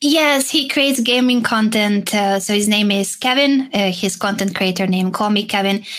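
A woman with a Hungarian accent, medium pitch, ordinary pitch variation, a moderate pace and hardly any pauses. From Hungary. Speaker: chess player and streamer. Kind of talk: casual interview chat.

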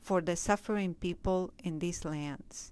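A woman with a Spanish accent and lively intonation, in a very clean recording with a silent background. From Peru. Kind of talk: interview. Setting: convent office.

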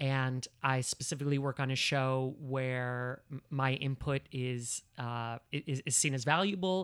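A man with an American accent speaks very slowly with hardly any pauses and fairly even intonation, in a dry, close sound with no echo. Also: medium pitch for a man. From New Jersey. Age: 30s. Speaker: actor and comedian. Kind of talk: casual chat. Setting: at home.

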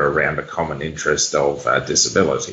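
Vocal fry marks this man's voice. He speaks with an Australian accent at a moderate pace. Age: 40s. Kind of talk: interview.

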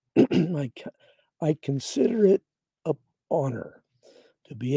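A dark, mellow, somewhat breathy tone with lively intonation. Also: man. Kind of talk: devotional Bible teaching broadcast.

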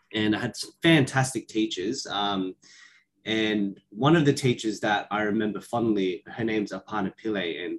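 A man speaks with an Australian accent. His medium pitch shows ordinary variation. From Western Sydney, Australia. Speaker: primary school teacher. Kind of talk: casual chat.

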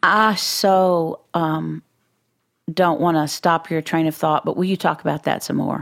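A woman with an American accent, fairly low pitch and fairly even intonation, in a dry, close sound with no echo on a very clean recording with a silent background. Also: fairly slow pace. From Texas. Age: 60s. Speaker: podcast co-host and Enneagram teacher. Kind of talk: casual interview chat.

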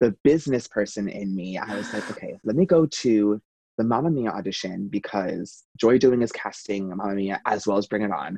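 Dark, mellow male voice with an American accent, fairly low pitch and ordinary pitch variation, dry and close with no echo. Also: moderate pace. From Long Island, New York; teens in Charlotte, North Carolina. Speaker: Broadway performer. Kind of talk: interview. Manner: hesitant, many fillers.

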